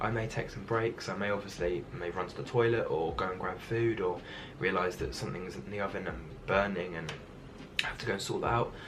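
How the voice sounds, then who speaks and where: A man talks at a fairly quick pace and a fairly low pitch, with ordinary pitch variation. Noticeable background noise and audible room echo fill the recording. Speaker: YouTuber. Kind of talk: tutorial. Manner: fast.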